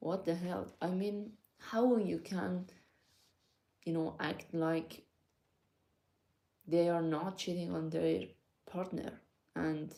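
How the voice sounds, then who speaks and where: A woman with a non-native accent speaks in a fairly low pitch and a dark, mellow tone. She uses ordinary pitch variation and long, frequent pauses. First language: not English. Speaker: vlogger. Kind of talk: casual monologue to viewers. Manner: hesitant, many fillers.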